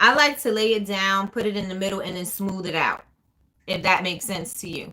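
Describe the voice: A woman speaks at a moderate pace in a medium pitch, with ordinary pitch variation and a bright, sharp tone.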